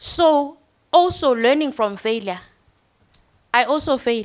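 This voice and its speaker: Lively intonation from a woman with a non-native accent. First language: not English. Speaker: university lecturer. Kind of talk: panel discussion.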